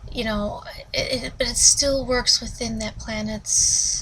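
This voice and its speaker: A woman is heard over noticeable background noise. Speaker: book reviewer. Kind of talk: casual book review. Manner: rambling with many fillers.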